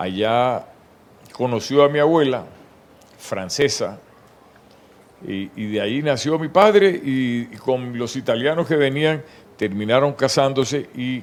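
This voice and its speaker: A man talks at a very slow pace, with long, frequent pauses. His pitch is medium and his intonation is lively. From Colombian Caribbean coast, Barranquilla. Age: 70s. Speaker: retired navy admiral. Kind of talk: interview.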